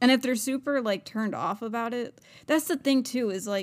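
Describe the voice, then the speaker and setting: In a very clean recording with a silent background, a woman uses an ordinary speaking voice with lively intonation at a moderate pace. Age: 20s. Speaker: podcast co-host. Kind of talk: casual chat.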